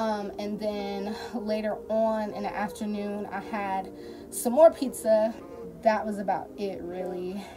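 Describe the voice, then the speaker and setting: A woman's voice with fairly even intonation over clear background music. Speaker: vlogger. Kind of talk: casual vlog chat. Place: home room. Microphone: phone near.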